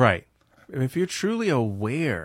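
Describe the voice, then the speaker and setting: The recording of this man is very clean, with a silent background. It sounds dry and close, without any echo. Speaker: podcast host. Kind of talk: casual chat. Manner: animated.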